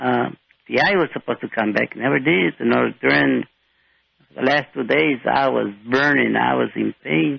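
With vocal fry and a very deep, low pitch, a man's voice swings very widely in pitch. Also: moderate pace. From Mexico, raised in Rio Grande Valley, Texas. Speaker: blind guest, small business owner. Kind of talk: interview. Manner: halting.

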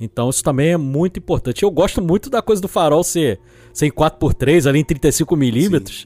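In a plain, everyday voice, a man speaks at a moderate pace with fairly high pitch and lively intonation, the sound dry and close with no echo. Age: 40s. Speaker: film podcast guest. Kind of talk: casual chat.

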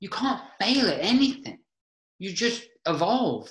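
A man uses a raised, projected voice with a high pitch. His tone is animated, and his pace is fairly slow. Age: 40s. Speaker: mindset coach and podcast host. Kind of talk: casual interview chat.

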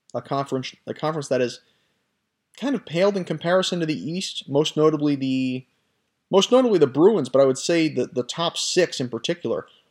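This is a normal speaking voice with lively intonation at a fairly quick pace. The recording is very clean, with a silent background. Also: man, fairly high pitch for a man. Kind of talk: sports news commentary, scripted-sounding solo podcast monologue. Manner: fluent, conversational and opinionated, with some self-corrections.

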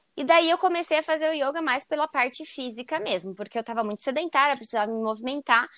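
A woman rattles along at a very fast pace with hardly any pauses, her high voice bright and sharp with lively intonation. The recording is very clean, with a silent background. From Santa Catarina, Brazil (Joinville). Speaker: yoga teacher. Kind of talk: casual interview.

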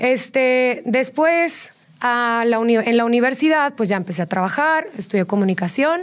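Very even loudness at a moderate pace. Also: woman, high pitch for a woman. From Mexico, Tijuana. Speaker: fitness studio founder. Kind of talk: interview.

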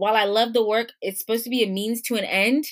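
A woman talks at a fairly quick pace with a fairly high pitch and an American accent. She has a normal speaking voice. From Washington DC area, Ghanaian family. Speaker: entrepreneur and business coach. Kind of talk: interview conversation.

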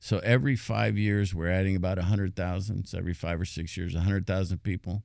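A man with an American accent speaks very fast with hardly any pauses, his pitch very deep and low and his pitch variation ordinary. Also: very clean recording, silent background. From mixed US upbringing, finished school in North Carolina. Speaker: city manager. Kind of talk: interview. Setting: studio.

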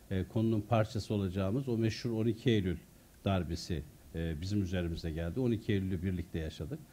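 A man speaks at a fairly quick pace with lively intonation. His voice has a dark, mellow tone. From Turkey, Artvin (Şavşat). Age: 50s. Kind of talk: talk on his own book with audience Q&A. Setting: foundation hall with live audience.

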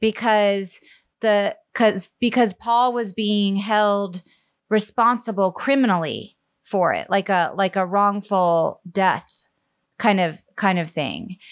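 A woman with an American accent speaks at a very slow pace, her medium pitch and fairly even intonation captured in a dry, close sound with no echo. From US South, Charleston, South Carolina. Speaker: comedic performer and writer. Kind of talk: casual chat.

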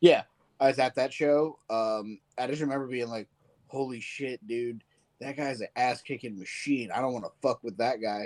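In a very clean recording with a silent background and a dry, close sound with no echo, a man with an American accent talks at a moderate pace in an unremarkable speaking voice, his medium pitch carrying fairly even intonation. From Virginia. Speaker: wrestling podcast co-host. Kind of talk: casual chat.

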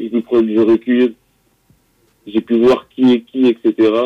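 With music in the background, a man speaks at a medium pitch and a very slow pace. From Paris suburbs, Val-de-Marne (Champigny) and Melun. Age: young. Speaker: rapper. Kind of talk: interview.

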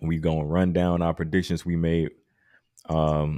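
Speaking at a fairly slow pace, a man has a very deep, low pitch and a dark, mellow tone. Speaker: wrestling podcast host. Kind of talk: casual banter, podcast chat. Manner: animated, joking.

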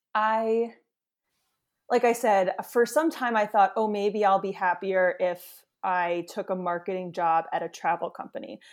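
A woman with an American accent speaks in an unremarkable speaking voice at a medium pitch. Her pace is fairly slow, her pitch variation ordinary, and the recording very clean with a silent background. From New York City area, US. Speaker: travel blogger. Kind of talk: interview.

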